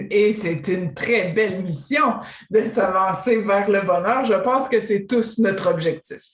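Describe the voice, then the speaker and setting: Amid noticeable background noise, a woman with a Quebec accent talks at a very slow pace and medium pitch, with ordinary pitch variation and very even loudness. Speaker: interviewer host. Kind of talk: interview.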